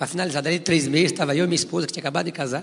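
This voice belongs to a man. Its pitch rises and falls in an ordinary way. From interior of São Paulo state, Brazil. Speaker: former professional footballer. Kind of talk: testimony. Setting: church.

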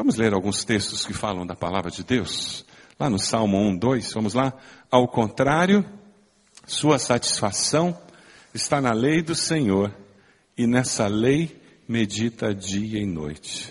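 Very slowly and with long, frequent pauses, a man talks at medium pitch with lively intonation. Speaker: pastor. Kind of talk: sermon. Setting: church.

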